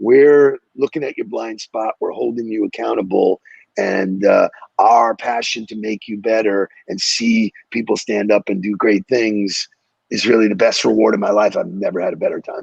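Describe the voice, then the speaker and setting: A man talks at a moderate pace. The sound is dry and close, without echo. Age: 60s. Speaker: sales coach and speaker. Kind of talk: podcast interview. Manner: energetic; animated.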